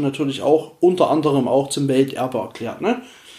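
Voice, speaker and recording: This man's voice is fairly high. Its tone is dark and mellow. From Erzgebirge, Saxony, eastern Germany. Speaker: podcast host. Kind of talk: solo Q&A podcast monologue. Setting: at home on the couch. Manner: casual, hesitant with fillers.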